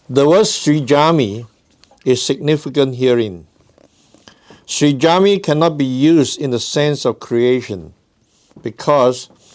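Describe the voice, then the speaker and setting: With a non-native accent, a man speaks at a fairly slow pace with lively intonation and long, frequent pauses. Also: fairly high pitch for a man. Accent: noticeable foreign. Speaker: guest religious lecturer. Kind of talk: reading aloud.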